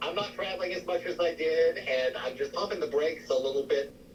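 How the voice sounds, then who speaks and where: A man speaks at a fairly quick pace amid noticeable background noise. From US South, Spartanburg, South Carolina. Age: 70s. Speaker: psychic medium. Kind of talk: interview.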